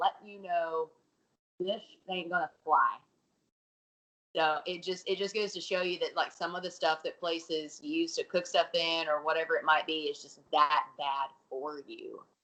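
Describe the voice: With an Alabama accent, a woman speaks at a moderate pace in a fairly low voice with a bright, sharp tone, ordinary pitch variation and big swings in loudness. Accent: southern American, Alabama.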